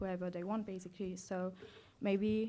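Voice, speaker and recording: At a moderate pace, the speaker talks with a non-native accent and fairly even intonation. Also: woman. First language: not English. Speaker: law student competitor. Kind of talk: moot court argument. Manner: halting, many fillers.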